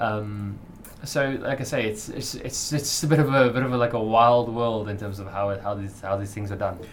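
A man's medium-paced speech comes through noticeable background noise. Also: medium pitch for a man, ordinary pitch variation. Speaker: business editor, podcast co-host. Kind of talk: casual chat.

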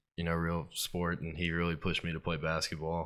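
A man with a very deep, low pitch talks in a Mississippi accent at a moderate pace. His tone is bright and sharp, on a very clean recording with a silent background. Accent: US South, Mississippi. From Starkville, Mississippi. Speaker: college football player. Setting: studio. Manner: polite, short answers.

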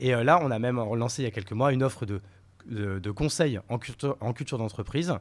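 On a very clean recording with a silent background, a man speaks at a very fast pace. His medium pitch shows ordinary variation. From France, Paris and rural Marne. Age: 30s. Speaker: entrepreneur. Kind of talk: casual interview. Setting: in person, recording venue. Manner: casual, hesitant fillers.

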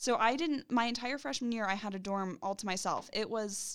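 Using a plain, everyday voice, a woman speaks fairly quickly at a fairly high pitch with lively intonation. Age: 20s. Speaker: university career strategist. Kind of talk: casual chat.

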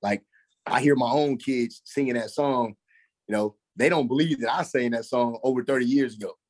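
A man with a Texan accent talks at a moderate pace in a medium pitch, his intonation fairly even and the sound dry and close with no echo. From Texas, Dallas-Fort Worth area. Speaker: former football player, school administrator and coach. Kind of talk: casual interview.

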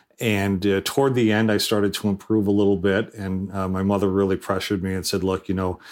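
This man has a normal speaking voice and an American accent. He talks fairly quickly at a fairly low pitch with fairly even intonation. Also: very clean recording, silent background. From Rhode Island, US. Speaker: government technology advisor and former mayor. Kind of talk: interview.

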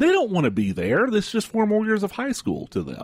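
Over a silent background in a very clean recording, a man talks with a Texan accent. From rural West Texas. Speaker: radio co-host. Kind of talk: talk radio discussion. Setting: radio studio. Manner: halting, many fillers.

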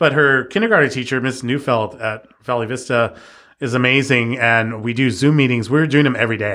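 A man with an American accent talks at a fairly quick pace in a medium pitch. His tone is bright and sharp, with ordinary pitch variation. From East Los Angeles. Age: 40s. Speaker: tattoo artist. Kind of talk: casual chat.

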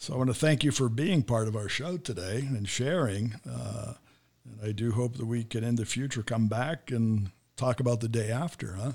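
With an American accent, a man speaks at a moderate pace in a medium pitch, somewhat breathy, with ordinary pitch variation. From United States. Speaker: podcast host. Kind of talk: interview. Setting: studio.

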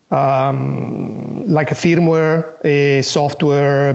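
Amid noticeable background noise, a man with a fairly high pitch talks in fairly even intonation. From Italy. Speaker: software engineer. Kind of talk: interview.

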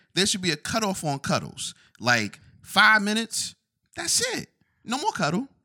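The speaker talks at a moderate pace with an American accent, leaving long, frequent pauses. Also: man. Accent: New York accent, thickens when annoyed. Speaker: podcast co-host. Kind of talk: casual chat.

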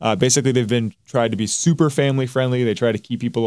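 Man at medium pitch on a very clean recording with a silent background. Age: 20s. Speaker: esports podcast co-host. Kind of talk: casual chat.

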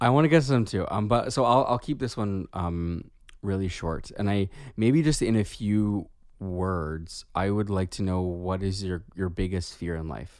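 A man with an unremarkable speaking voice talks at a moderate pace. His pitch sits fairly low, and his intonation is lively. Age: 30s. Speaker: podcast co-host, therapist. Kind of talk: casual chat. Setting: remote recording.

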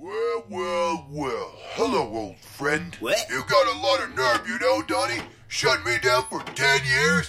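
A fairly slow, medium-pitched male voice, put on as a character. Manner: insulting, resentful.

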